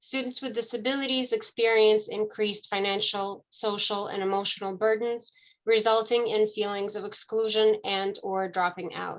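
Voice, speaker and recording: A woman speaks with a plain, everyday voice at a fairly high pitch and fairly even intonation. Her pace is moderate, with hardly any pauses. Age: 40s. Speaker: social work student ambassador, event co-host. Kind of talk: panel presentation. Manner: formal.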